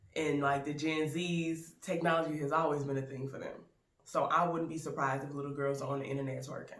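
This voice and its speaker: A woman speaks at a fairly quick pace with a very deep, low pitch and an American accent. Noticeable background noise and audible room echo fill the recording. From US South, Baton Rouge, Louisiana. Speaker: YouTube actor and film reviewer. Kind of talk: casual film review vlog. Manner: animated.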